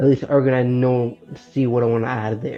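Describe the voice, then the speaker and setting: The delivery is very fast. Background music can be heard throughout. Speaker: web developer vlogger. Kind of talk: casual vlog talk. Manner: halting.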